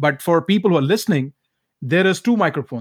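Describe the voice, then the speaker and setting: Speaking at a fairly quick pace with an Indian accent, a man is heard in a very clean recording with a silent background and a dry, close sound with no echo. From Calcutta, India. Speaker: motivational speaker and life coach. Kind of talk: interview conversation.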